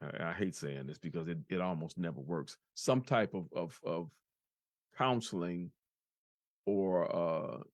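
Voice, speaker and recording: Over a quiet background, a man speaks at a very deep, low pitch with lively intonation. His pace is fairly slow, broken by long, frequent pauses. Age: 60s. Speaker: podcast host. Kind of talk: casual chat. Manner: halting, with many repetitions.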